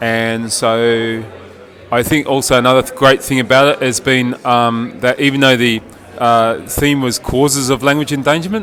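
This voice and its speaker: With an Australian accent, a man speaks at a moderate pace in a medium pitch, his intonation fairly even over noticeable background noise. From Australia, East Coast. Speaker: linguist, conference participant. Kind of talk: interview testimonial.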